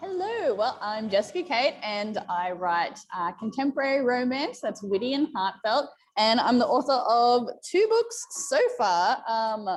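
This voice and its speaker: A woman with an Australian accent talks fairly slowly in a high pitch with lively intonation. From rural Australia. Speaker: romance author. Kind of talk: interview.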